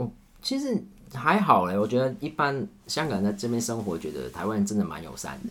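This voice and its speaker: A man speaks fairly quickly while noticeable background noise plays behind him. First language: Cantonese (speaking Chinese). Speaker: camera operator. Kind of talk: casual chat.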